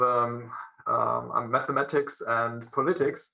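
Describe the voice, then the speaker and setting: A man is speaking. He has a German accent. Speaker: teacher. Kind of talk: presentation at a video conference. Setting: video conference. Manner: halting, many fillers.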